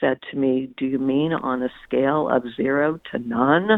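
The voice belongs to a woman with a very deep, low pitch. She speaks at a fairly slow pace. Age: 60s. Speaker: author. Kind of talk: interview. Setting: phone call.

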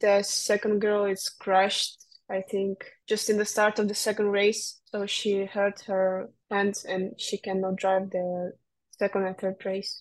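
With a Russian accent, a woman speaks fairly slowly at a medium pitch in a flat, monotone delivery. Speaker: racing driver. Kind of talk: interview. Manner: halting.

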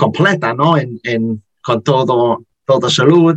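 Very slowly, a man with an English accent speaks with ordinary pitch variation. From Liverpool, England. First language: English (speaking Spanish). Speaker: podcast host. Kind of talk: interview. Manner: halting, many fillers.

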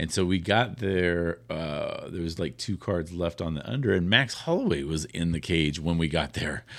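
Speaking with an American accent, a man with a very deep, low voice keeps a moderate pace, with ordinary pitch variation and hardly any pauses. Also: very clean recording, silent background. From Sacramento area, California. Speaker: radio host. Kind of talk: casual chat.

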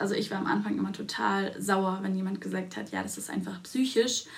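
A woman speaks with audible room echo. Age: 20s. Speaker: dentist and podcast co-host. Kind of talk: casual chat.

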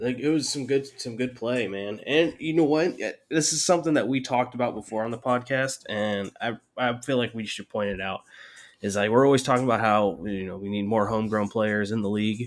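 A man with a normal speaking voice, medium pitch and a fairly quick pace. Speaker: rugby podcast host. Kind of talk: casual banter. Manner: joking, deadpan.

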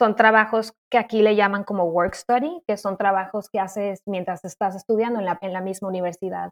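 A woman's medium-pitched voice, a normal speaking voice, at a moderate pace. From Mexico City, Mexico. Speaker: nursing graduate student. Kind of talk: interview. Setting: remote recording.

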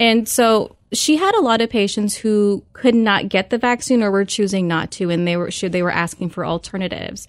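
With a normal speaking voice, a woman talks at a fairly quick pace and medium pitch, using ordinary pitch variation and hardly any pauses. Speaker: nurse practitioner. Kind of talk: radio interview. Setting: studio.

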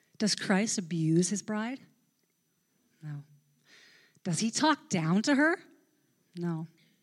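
Very slowly and with long, frequent pauses, a woman of medium pitch speaks in a somewhat breathy voice with very wide pitch swings on a very clean recording with a silent background. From Newfoundland, Canada. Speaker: pastor. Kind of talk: sermon. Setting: church.

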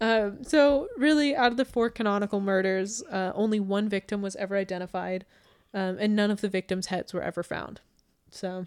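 The sound is dry and close with no echo as a woman talks at a medium pitch with ordinary pitch variation. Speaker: podcast host, true crime storyteller. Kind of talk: casual chat, true crime narration. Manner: fast talker, laughs often; playful, joking.

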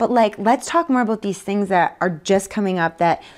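She speaks with a Canadian Prairie accent at a fairly quick pace. The woman's pitch is medium, her intonation fairly even. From Canada, Manitoba (Winnipeg area). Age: 30s. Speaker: author, speaker and charity founder. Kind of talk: casual interview.

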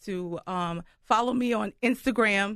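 A woman's medium-pitched voice, dry and close with no echo, over a quiet background. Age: 40s. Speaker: children's book author and caregiver. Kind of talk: radio interview.

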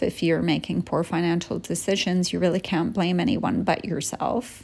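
A woman speaks at a moderate pace with a fairly low pitch, ordinary pitch variation, and vocal fry. The recording is very clean, with a silent background. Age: 50s. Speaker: podcast host on empty nesting. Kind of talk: casual solo monologue. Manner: conversational.

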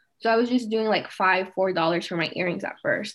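A woman with an American accent has an ordinary speaking voice at medium pitch. She talks at a fairly quick pace with ordinary pitch variation. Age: 20s. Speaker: small business owner. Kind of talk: interview.

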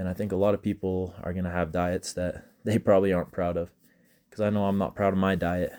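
At a very fast pace, a man with a very deep, low pitch and a dark, mellow tone speaks in a monotone, flat intonation. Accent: Utah. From Utah, US. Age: 20s. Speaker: college student podcaster. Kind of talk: casual solo monologue. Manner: halting, with frequent repeated words.

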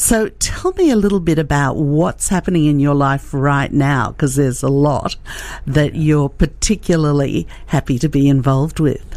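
A woman talks at a moderate pace in a very deep, low pitch. Her pitch varies in an ordinary way, and her loudness stays very even. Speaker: radio host. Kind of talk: casual interview chat. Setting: studio.

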